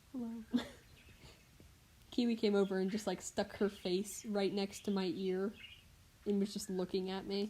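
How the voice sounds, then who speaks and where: The intonation is monotone and flat, with long, frequent pauses. The tone is dark and mellow. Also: woman, medium pitch for a woman, moderate pace. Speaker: livestreamer drawing. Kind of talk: casual live stream chat while drawing. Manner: loud; hesitant, many fillers.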